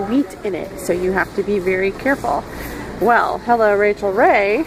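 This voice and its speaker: A woman talks at a moderate pace with a medium pitch. Music plays in the background. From multilingual upbringing (French, English, Hebrew). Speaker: food vlogger. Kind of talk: tutorial. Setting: in a store. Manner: casual, conversational.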